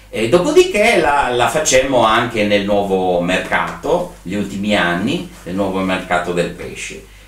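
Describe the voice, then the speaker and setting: There is audible room echo as a man speaks at a fairly low pitch and a fairly slow pace. His intonation is lively. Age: 60s. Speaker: event and trade fair organizer; interviewee. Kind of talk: interview. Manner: hesitant, many fillers. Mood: calm, reflective, content. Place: home room.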